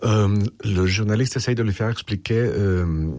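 A man speaks with a fairly low pitch, a slightly mellow tone and fairly even intonation.

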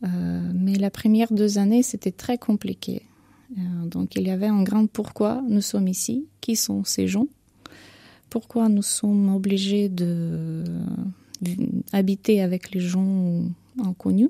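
A woman's medium-pitched voice with vocal fry, a dark, mellow tone, fairly even intonation and a fairly slow pace, in a dry, close sound with no echo

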